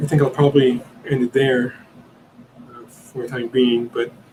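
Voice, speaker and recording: Noticeable background noise runs behind a man's voice. He talks at a moderate pace with a medium pitch. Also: long, frequent pauses, big swings in loudness. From Italy. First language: Italian. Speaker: podcast host. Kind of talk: live Q&A stream. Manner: halting, many fillers and repeats.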